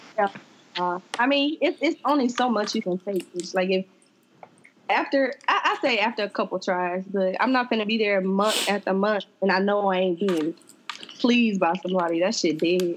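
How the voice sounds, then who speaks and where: Noticeable background noise sits under a woman's voice. She talks at a moderate pace with very even loudness and ordinary pitch variation. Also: medium pitch for a woman. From US West Coast, Oakland, California. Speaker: law student. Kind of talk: casual chat.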